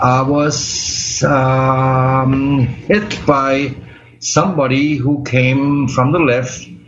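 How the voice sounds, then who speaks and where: Noticeable background noise and audible room echo around a man's medium pitch. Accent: German. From Germany. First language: German. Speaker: accident survivor, medical cannabis patient. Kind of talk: interview. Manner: halting.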